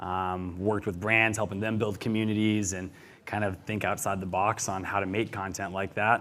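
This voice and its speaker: On a very clean recording with a silent background, an ordinary speaking voice goes at a fairly quick pace, its intonation fairly even. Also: man. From Montana, US. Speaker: video creator. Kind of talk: panel discussion.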